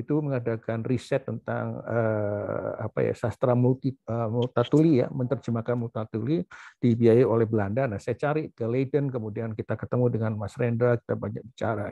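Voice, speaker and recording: The delivery is fairly quick with hardly any pauses. Loudness swings widely while the intonation stays fairly even. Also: man, medium pitch for a man. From Surabaya, East Java, Indonesia. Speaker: professor and doctor. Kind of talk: memorial talk with slides. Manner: halting, many fillers.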